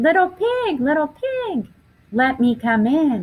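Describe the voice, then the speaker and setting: A woman puts on a character voice, pitched high. She swings her pitch very widely and speaks at a fairly slow pace. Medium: read story. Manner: sly, wheedling.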